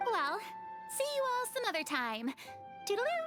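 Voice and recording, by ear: With clear music in the background, a woman in a put-on character voice speaks at a moderate pace and an extremely high pitch with very wide pitch swings.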